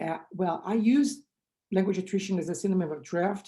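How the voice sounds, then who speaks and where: A woman speaks with a strong Brazilian accent at a moderate pace. Her tone is dark and mellow. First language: Portuguese. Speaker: linguistics researcher. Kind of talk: conference talk.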